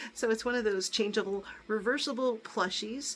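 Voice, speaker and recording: The pace here is moderate. A woman speaks with vocal fry. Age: 60s. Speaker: YouTuber showing gifts. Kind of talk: casual haul video. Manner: chatty, with many fillers. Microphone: crackling noise.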